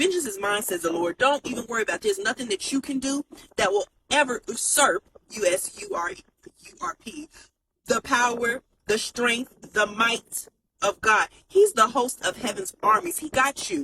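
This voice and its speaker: A woman speaks high in pitch with a bright, sharp, animated tone and very wide pitch swings. The sound is dry and close, with no echo. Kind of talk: inspirational talk. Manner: fast.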